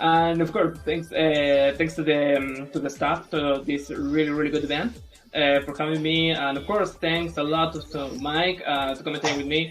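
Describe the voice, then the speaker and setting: At a moderate pace, a man with a non-native accent and a fairly high pitch speaks in a monotone, flat intonation. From Chile. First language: Spanish. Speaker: speedrunner. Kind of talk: live commentary.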